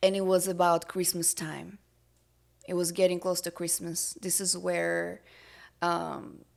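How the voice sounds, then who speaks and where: In a Russian accent, a woman speaks at a fairly slow pace with long, frequent pauses. The recording is very clean, the background silent. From Russia, Siberia. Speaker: entrepreneur. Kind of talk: podcast interview. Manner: hesitant, many fillers.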